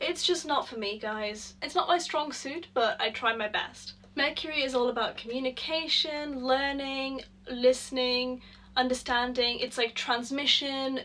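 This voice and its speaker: A woman projects a raised voice at high pitch. Her pitch variation is ordinary. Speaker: astrology and journaling youtuber. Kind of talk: casual talk to camera with journaling prompts. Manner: halting, trips over words.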